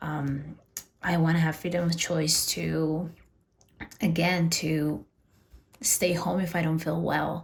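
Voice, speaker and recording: At a very slow pace, a woman with a Spanish accent speaks in a fairly low pitch with fairly even intonation. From Peru. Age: 30s. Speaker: personal finance vlogger. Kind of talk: personal vlog monologue. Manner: casual, with fillers and repeats.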